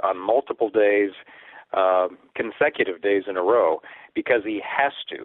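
With an unremarkable speaking voice, a man talks at a moderate pace with ordinary pitch variation. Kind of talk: radio interview on politics. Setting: remote line into radio show.

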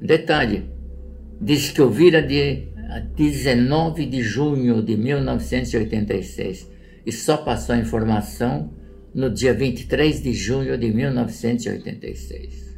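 Speaking at a very slow pace, a man lets his pitch swing very widely. Room echo can be heard. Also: medium pitch for a man. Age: 80s+. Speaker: father of a missing person. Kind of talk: reading aloud.

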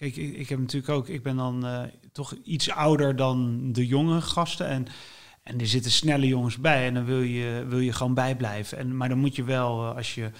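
Here a man speaks at medium pitch. His pace is moderate and his intonation fairly even. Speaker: writer. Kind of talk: casual interview. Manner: halting.

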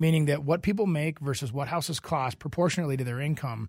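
A man with an American accent talks at a fairly quick pace, his pitch fairly high and his intonation lively. His voice is somewhat breathy, in a very clean recording with a silent background. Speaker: real estate agent, radio co-host. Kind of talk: casual radio talk show chat. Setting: studio.

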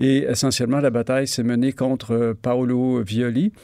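On a very clean recording with a silent background, a man speaks fairly slowly in a dark, mellow tone at medium pitch. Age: 60s. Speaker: retired journalist and author. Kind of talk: interview.

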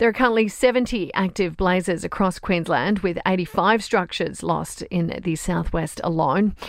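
A woman speaks in a fairly low voice. Noticeable background noise runs behind her. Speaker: news presenter. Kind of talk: newsreading. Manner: brisk, crisp and neutral; formal, steady, authoritative.

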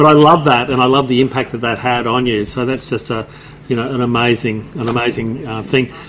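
Noticeable background noise sits behind a man. He talks fairly quickly with fairly even intonation. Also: medium pitch for a man. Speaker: podcast co-host. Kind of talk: casual interview chat. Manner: hesitant, many fillers.

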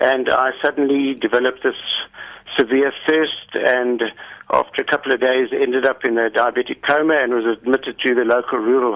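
The intonation is flat and monotone. The pace is moderate. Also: man. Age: 60s. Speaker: diabetes patient and climber. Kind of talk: radio interview. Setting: phone call.

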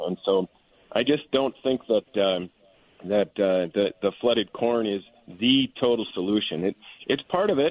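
Lively intonation from a man with a plain, everyday voice at medium pitch. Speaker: wildlife biologist. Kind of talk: radio panel discussion.

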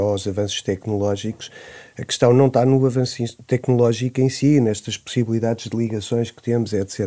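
A man's medium-pitched voice with a dark, mellow tone, at a fairly quick pace. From Portugal, Nazaré. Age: 40s. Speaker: urban planner, debate guest. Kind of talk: radio panel discussion. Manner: halting, many repetitions.

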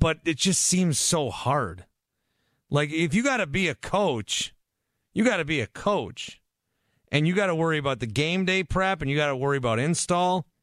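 A man with a normal speaking voice, fairly high in pitch, with lively intonation at a moderate pace, in a dry, close sound with no echo against a quiet background. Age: 30s. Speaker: sports radio host. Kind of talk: call-in sports talk radio.

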